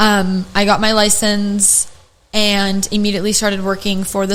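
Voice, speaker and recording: A woman is heard with audible room echo around her voice. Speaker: podcast host, esthetician educator. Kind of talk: casual chat. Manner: animated.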